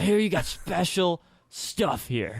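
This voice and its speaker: A man whispers quietly in a raspy, put-on character voice at a fairly slow pace. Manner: loud whisper, trying to be quiet.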